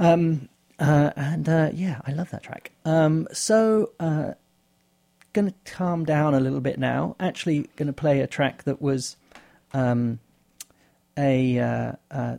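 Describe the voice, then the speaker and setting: Very slow and very deep, a woman's low voice has a dark, mellow tone, ordinary pitch variation and big swings in loudness. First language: German. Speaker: radio DJ. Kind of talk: radio show links. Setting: studio. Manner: halting.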